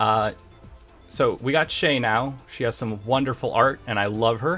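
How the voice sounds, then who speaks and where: A man talks at a fairly slow pace and a medium pitch, with ordinary pitch variation. Music plays in the background. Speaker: game developer. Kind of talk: casual talk to camera. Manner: casual, rambling.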